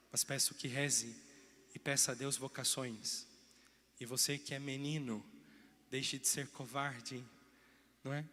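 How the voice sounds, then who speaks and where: In a bright, sharp tone, a man of medium pitch speaks at a fairly slow pace with fairly even intonation and long, frequent pauses. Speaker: parish priest. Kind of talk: sermon. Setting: church.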